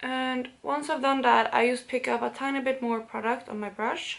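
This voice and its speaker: A woman with a high voice keeps her intonation fairly even and her pace moderate. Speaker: beauty vlogger. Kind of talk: casual makeup tutorial talk to camera. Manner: casual.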